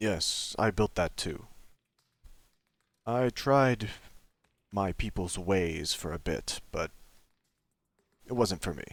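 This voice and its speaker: In a put-on character voice, a man talks at a very slow pace with long, frequent pauses and a fairly low pitch. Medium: machinima. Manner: terse, slow, laconic.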